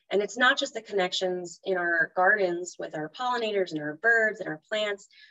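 At a moderate pace, a woman talks with ordinary pitch variation. Behind her, the background is quiet. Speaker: presenter. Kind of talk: webinar talk. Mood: warm, enthusiastic. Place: home room. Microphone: video call.

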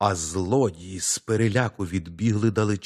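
A natural reading voice moves with fairly even intonation.

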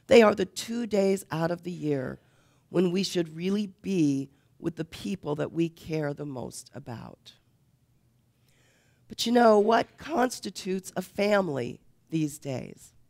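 Against a quiet background, a woman with a fairly low voice talks fairly slowly. She leaves long, frequent pauses, and her loudness swings widely. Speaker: preacher. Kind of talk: sermon. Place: church.

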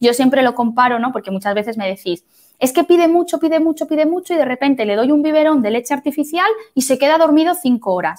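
Over a quiet background, a woman speaks very fast in a high voice with lively intonation. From Spain, Madrid. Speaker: midwife. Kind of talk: lecture. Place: home room. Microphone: webcam.

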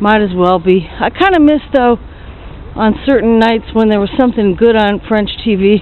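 A woman with a fairly high voice speaks at a moderate pace with ordinary pitch variation and very even loudness, the sound dry with no echo. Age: 50s. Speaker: video blogger. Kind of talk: casual walking vlog monologue. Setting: outdoors. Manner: conversational, thinking aloud. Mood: chatty, opinionated. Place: street. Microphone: phone near.

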